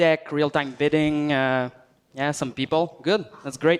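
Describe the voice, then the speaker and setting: A man with a fairly high pitch speaks with a Quebec accent. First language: French. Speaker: software engineer. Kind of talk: tech talk presentation. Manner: hesitant, many fillers.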